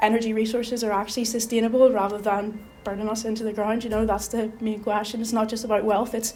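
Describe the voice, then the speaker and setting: Over noticeable background noise, a woman with a Belfast accent talks at a fairly quick pace and a fairly high pitch, with monotone, flat intonation. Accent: Belfast Northern Irish. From Northern Ireland, Belfast. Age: 20s. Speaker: election candidate. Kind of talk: interview.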